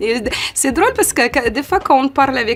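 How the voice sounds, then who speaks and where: Fairly quick delivery with lively intonation over noticeable background noise. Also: woman. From Ukraine. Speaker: model and content creator. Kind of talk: interview. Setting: photo studio. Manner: halting.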